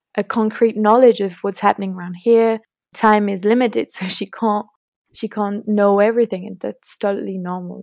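A woman speaks with a French accent and monotone, flat intonation in a very clean recording with a silent background. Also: medium pitch for a woman, moderate pace, dry, close sound with no echo. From France. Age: young. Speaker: student climate activist. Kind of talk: interview.

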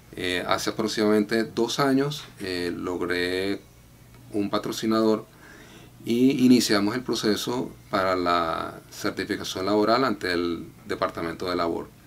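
Light background noise sits behind a man speaking at a fairly slow pace. His pitch is fairly low, with ordinary variation. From Venezuela, Valencia; Venezuela. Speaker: immigration client. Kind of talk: testimony. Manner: halting, frequent filler 'eh'. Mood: calm, grateful.

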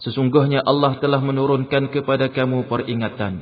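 Here is a man with an ordinary speaking voice. He talks at a moderate pace and a fairly high pitch, with fairly even intonation. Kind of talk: scripted translation reading of scripture. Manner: formal, measured, steady.

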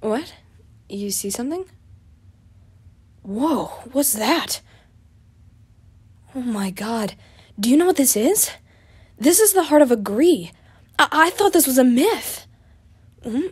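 A put-on character voice with a husky, rough edge and lively intonation. It moves at a slow pace, with long pauses coming often. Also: woman, high pitch for a woman.

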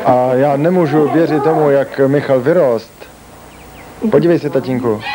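A man speaks at a fairly slow pace in a fairly high pitch with ordinary pitch variation. Noticeable background noise runs underneath. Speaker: voice-over dubber. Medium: dub.

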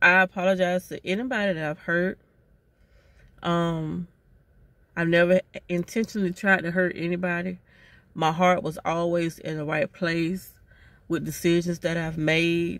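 A woman at a moderate pace, fairly low in pitch, flat and monotone, with long, frequent pauses and a dry sound with no echo. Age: 40s. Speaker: vlogger. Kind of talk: casual monologue. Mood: earnest, reflective, apologetic. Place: car. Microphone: phone near.

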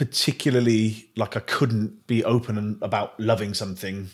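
The man's tone is bright and sharp. He talks at a moderate pace against a quiet background. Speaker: podcast host. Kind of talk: casual chat. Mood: relaxed, reflective. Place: home room.

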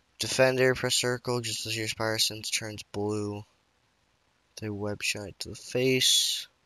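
Quiet and bright, sharp in tone, a man speaks at a medium pitch and fairly slow pace in a dry, close sound with no echo. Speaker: gaming YouTuber. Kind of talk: let's play commentary.

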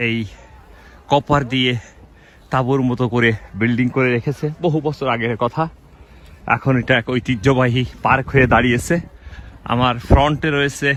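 Fairly level intonation and mid-range pitch from a male speaker. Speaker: vlogger. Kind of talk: walking vlog narration. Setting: outdoors. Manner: halting.

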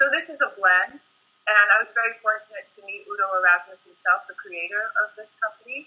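With an American accent, a woman speaks fairly quickly in a fairly high voice, her intonation lively and her loudness swinging widely. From Rhode Island, US. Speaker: Ayurvedic and Chinese medicine practitioner. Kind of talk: casual interview. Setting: video call. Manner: halting.

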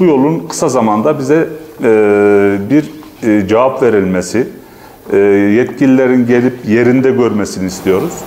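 A man at a moderate pace, with lively intonation and long, frequent pauses. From Mersin Mut, Turkey. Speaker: village resident spokesperson. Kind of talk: interview statement. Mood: earnest complaint. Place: hall. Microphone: lapel.

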